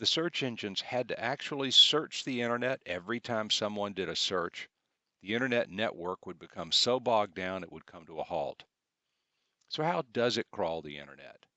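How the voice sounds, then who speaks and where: Lively intonation and big swings in loudness mark a man with a Southern US accent, speaking at medium pitch and a moderate pace. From US South. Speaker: computer class instructor. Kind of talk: tutorial.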